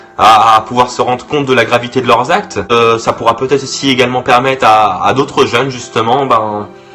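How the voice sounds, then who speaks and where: Over music in the background, a man talks at a fairly quick pace with very even loudness and fairly even intonation. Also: medium pitch for a man, hardly any pauses. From Brittany, France. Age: 20s. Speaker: youtuber. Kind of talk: vlog monologue. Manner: halting, many fillers and repetitions.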